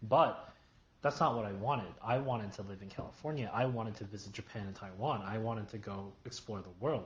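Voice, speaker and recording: Fairly low in pitch and somewhat breathy, a man with an American accent talks at a fairly quick pace with ordinary pitch variation. Audible room echo surrounds his voice. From New York, US. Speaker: YouTuber. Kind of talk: casual chat.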